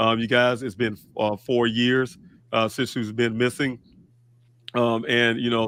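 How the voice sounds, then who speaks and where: The man's pitch is medium and his pace moderate. His intonation stays monotone and flat. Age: 50s. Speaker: father of a missing person hosting a vigil livestream. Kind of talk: livestream talk. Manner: hesitant, many fillers.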